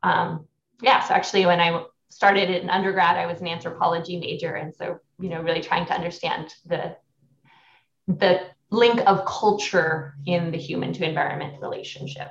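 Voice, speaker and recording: A woman talks in a fairly low, somewhat breathy voice with fairly even intonation. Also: moderate pace. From northern New Mexico. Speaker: urban planning professor. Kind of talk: interview.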